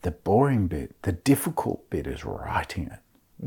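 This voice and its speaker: In a very clean recording with a silent background, a man speaks at a fairly slow pace in a dark, mellow, somewhat breathy voice with lively intonation. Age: 50s. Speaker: author and professor. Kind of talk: interview conversation.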